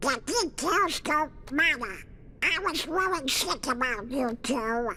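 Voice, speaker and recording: A put-on character voice with a high pitch moves at a fairly slow pace. Clear background noise is present. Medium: video game.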